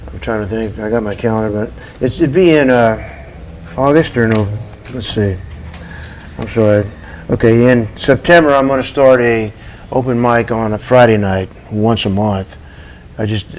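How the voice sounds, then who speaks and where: A medium-pitched male voice with ordinary pitch variation at a moderate pace, broken by long, frequent pauses, over noticeable background noise. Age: 70s. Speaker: coffee shop owner. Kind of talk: TV interview. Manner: halting.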